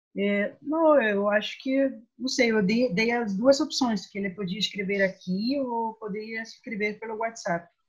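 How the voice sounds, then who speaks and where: A woman with a non-native accent speaks at a fairly slow pace with hardly any pauses. Her fairly high voice is somewhat breathy and shows ordinary pitch variation. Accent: foreign accent in Portuguese. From Guatemala. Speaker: moderator for human rights center. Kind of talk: moderating video discussion. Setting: video call.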